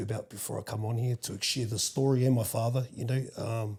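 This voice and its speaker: This man talks at a fairly quick pace, somewhat breathy and dark and mellow in tone. His intonation is monotone and flat. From New Zealand, Wellington. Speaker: podcast guest sharing life story. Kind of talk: casual interview. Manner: halting.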